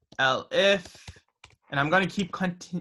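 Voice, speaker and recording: In a very clean recording with a silent background, the speaker has a bright, sharp tone, ordinary pitch variation, and an American accent. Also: man. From New Jersey, US. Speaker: student club officer teaching coding. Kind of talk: tutorial.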